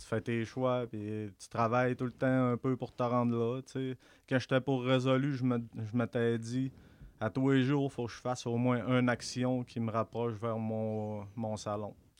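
Against a quiet background, a man talks at a fairly slow pace with medium pitch. His delivery is monotone and flat, with a dry, close sound and no echo. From Quebec, Saguenay-Lac-Saint-Jean (Albanel). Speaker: barber and small business owner. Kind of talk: casual interview.

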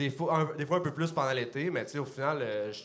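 In a Quebec accent, a man talks at a very fast pace with fairly even intonation, and audible room echo surrounds him. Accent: Québécois French. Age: 20s. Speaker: brewer and microbrewery co-owner. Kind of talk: casual chat. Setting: stage with audience.

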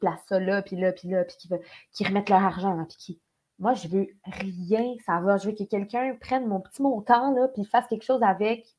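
The woman talks fairly quickly, her medium pitch showing ordinary variation. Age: 20s. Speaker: actress. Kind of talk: casual chat.

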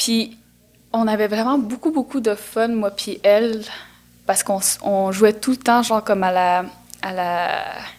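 Pausing long and often, a woman talks at a fairly slow pace in a fairly high voice with ordinary pitch variation. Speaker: actress. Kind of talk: casual interview.

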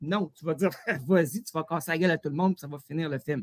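In a Quebec accent, a man speaks with a dry, close sound and no echo. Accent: Québécois French. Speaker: comedian. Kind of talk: comedic quiz show.

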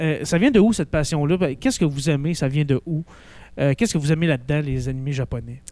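A man with a Quebec accent talks very fast, his fairly high-pitched voice dark and mellow in tone, with ordinary pitch variation. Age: 30s. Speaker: teacher and school podcast host. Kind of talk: casual chat.

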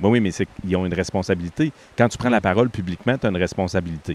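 The speaker is a man. Nothing unusual marks how his pitch varies, which stays ordinary. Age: 50s. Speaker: podcast host. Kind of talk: casual chat. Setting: outdoors.

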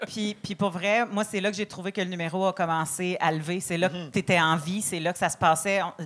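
A woman's medium-pitched voice with a Quebec accent, fairly even intonation and a fairly quick pace. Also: hardly any pauses. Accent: Québécois French. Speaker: comedian. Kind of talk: comedy panel feedback.

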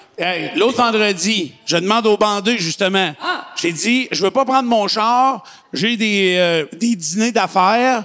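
The speech moves at a very slow pace with very even loudness and ordinary pitch variation. Noticeable background noise sits behind it. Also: man, high pitch for a man. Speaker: podcast host. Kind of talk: casual chat.

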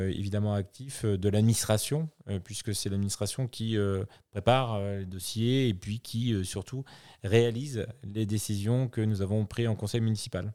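The recording is very clean, with a silent background. A man speaks in a dark, mellow tone at a moderate pace, his fairly low pitch held in fairly even intonation. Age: 40s. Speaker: mayor. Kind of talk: interview. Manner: formal.

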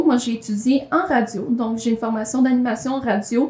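With a Quebec accent and a high pitch, a woman talks over noticeable background noise. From rural Quebec. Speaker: magazine coordinator and podcast co-host. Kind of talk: casual chat. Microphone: room echo.

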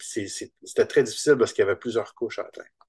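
A man with a Quebec accent talks at a very fast pace. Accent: Québécois French. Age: 50s. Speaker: comic book artist. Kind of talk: interview.

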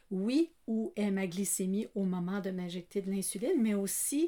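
A woman at a medium pitch, with ordinary pitch variation, a fairly slow pace and a dark, mellow tone. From Acadia. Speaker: retired teacher. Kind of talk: personal testimony. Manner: laughing often.

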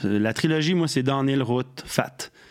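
An unremarkable speaking voice from a man, moderate in pace, with ordinary pitch variation. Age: 50s. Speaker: radio host and former bike shop co-owner. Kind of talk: casual chat.

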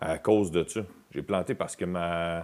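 In a Quebec accent, a man speaks with a very deep, low pitch and fairly even intonation. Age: 40s. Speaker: comedian. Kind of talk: casual chat.

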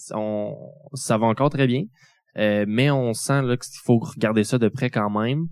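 This man has an ordinary speaking voice at a medium pitch, with ordinary pitch variation and a fairly slow pace. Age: 20s. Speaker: family caregiver and student. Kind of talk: testimony. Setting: stage with audience.

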